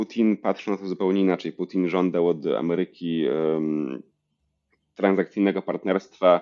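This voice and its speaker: A man talks in a flat monotone. His voice is very deep and low. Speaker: history PhD student. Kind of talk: interview.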